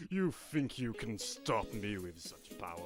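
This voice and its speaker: A man puts on a character voice at a medium pitch and a moderate pace. Clear background noise runs behind him. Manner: theatrical, menacing.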